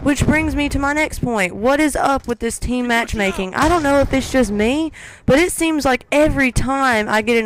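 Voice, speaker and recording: A woman's moderately paced speech is heard with noticeable noise in the background. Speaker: gaming commentator. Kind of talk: gameplay commentary rant. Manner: halting, stuttering.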